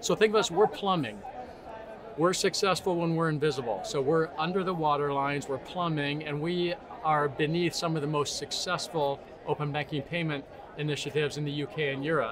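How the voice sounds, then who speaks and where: Noticeable background noise sits behind a man with an American accent. He speaks fairly quickly, with a fairly high pitch and ordinary pitch variation. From United States. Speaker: tech company CEO. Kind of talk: interview.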